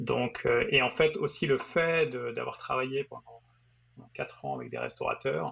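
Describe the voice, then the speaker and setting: Speaking at a fairly slow pace, a man lets his loudness swing widely. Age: 40s. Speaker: entrepreneur. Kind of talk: interview. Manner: halting.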